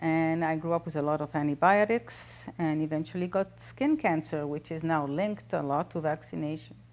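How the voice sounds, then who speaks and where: On a very clean recording with a silent background, a woman with a very deep, low pitch talks at a moderate pace with lively intonation. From French-speaking Switzerland. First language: French. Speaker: holistic doctor and author. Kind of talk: interview.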